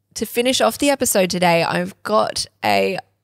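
The recording is very clean and the background silent. The voice carries an Australian accent. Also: woman. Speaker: podcast co-host. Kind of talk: casual chat.

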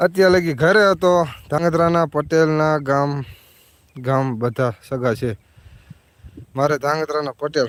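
A man's fairly high voice with ordinary pitch variation, dry and close with no echo. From Gujarat, Surendranagar district (Dhrangadhra area village). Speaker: village vlogger and farmer. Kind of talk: live stream chat with viewers. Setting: outdoors at the farm.

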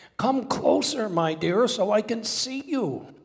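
A man puts on a character voice, high in pitch. He delivers it at a fairly slow pace. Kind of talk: sermon. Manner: sweet, feigned.

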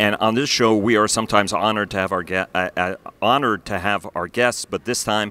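At a very fast pace, a man with a fairly low pitch and a bright, sharp tone speaks with fairly even intonation in a dry sound with no echo. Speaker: defense news editor and interviewer. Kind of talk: interview host introduction. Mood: respectful, honored tone. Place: meeting room. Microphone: handheld.

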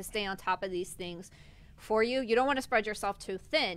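A woman's bright, sharp voice moves at a fairly quick pace with ordinary pitch variation. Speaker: co-host. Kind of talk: talk show discussion. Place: studio. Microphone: studio mic.

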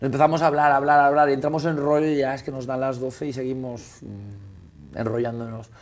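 Over light background noise, a man with a fairly high pitch races along at a very fast pace in a monotone, flat delivery. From Galicia, Spain (Esteiro, Muros); Galicia, Spain. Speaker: restaurateur and caterer; guest. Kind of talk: casual chat. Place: studio. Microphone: lapel.

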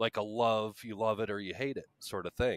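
A man with a fairly low voice talks at a fairly quick pace in a normal speaking voice. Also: dry, close sound with no echo. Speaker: podcast co-host. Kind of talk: casual chat.

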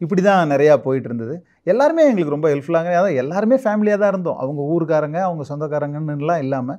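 A quiet background surrounds the voice. Its tone is dark and mellow. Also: man. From Tamil Nadu, Thanjavur/Chidambaram area; Tamil Nadu. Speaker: film actor; film actor guest. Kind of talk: interview; interview answer. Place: studio. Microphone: lapel.

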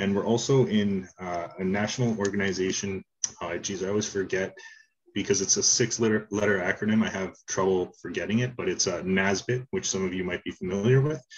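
A man has a plain, everyday voice, fairly low in pitch, with fairly even intonation at a fairly quick pace. Light background noise is present. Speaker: presenter. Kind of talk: conference presentation. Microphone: video call.

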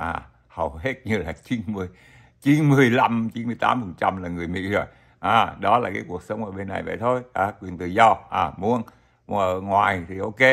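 Over a quiet background, a man speaks very slowly. His fairly low pitch shows ordinary variation. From Vietnam. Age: old. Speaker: YouTuber, retiree vlogger. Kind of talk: casual vlog monologue; casual talk to viewers. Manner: halting, many fillers. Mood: friendly, smiling. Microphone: webcam.

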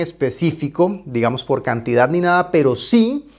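Against a quiet background, a man talks at a moderate pace with very wide swings in pitch. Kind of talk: presentation to camera. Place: home room.

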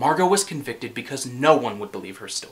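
This man talks at a fairly quick pace. His pitch variation is ordinary. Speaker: actor performing a play scene. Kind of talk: dramatic monologue. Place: studio.

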